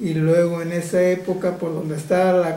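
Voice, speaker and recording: A man talks at a high pitch and a fairly slow pace, his intonation monotone and flat. There is audible room echo. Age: 70s. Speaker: village elder. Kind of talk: interview. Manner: halting.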